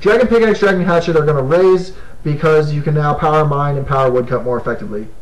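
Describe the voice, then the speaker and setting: A man talking at a very fast pace with ordinary pitch variation, with audible room echo and noticeable background noise. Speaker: gaming video host. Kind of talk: casual monologue. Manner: animated.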